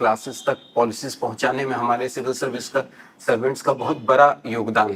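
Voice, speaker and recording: A man with a Bihar accent speaks at medium pitch with fairly even intonation over noticeable background noise. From Mithila region, Bihar (Darbhanga). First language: Maithili (speaking Hindi). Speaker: civil service exam candidate. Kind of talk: mock job interview. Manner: hesitant, many filler sounds; formal, polite.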